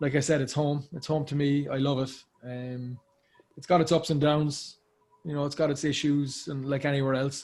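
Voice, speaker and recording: With an Irish accent, a man talks at a moderate pace in a somewhat breathy voice with monotone, flat intonation. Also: fairly high pitch for a man. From Ireland, Cork. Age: 30s. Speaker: actor. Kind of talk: casual chat.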